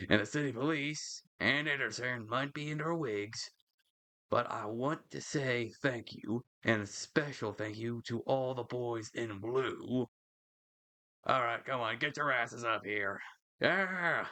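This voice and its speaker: Someone uses a put-on character voice at a fairly slow pace with ordinary pitch variation. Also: man, medium pitch for a man. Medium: solo performance.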